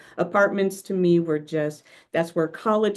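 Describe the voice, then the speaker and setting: In an Oklahoma accent, a woman speaks at a moderate pace with ordinary pitch variation and a dark, mellow tone. The background is quiet. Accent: American, Oklahoma. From US, Oklahoma. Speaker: workshop presenter. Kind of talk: presentation over video call. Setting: video call.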